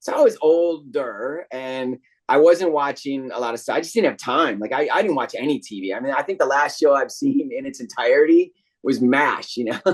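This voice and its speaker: A man with an American accent and a fairly high pitch talks at a moderate pace with ordinary pitch variation in a plain, everyday voice. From New York. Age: 50s. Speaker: voice actor. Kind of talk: interview.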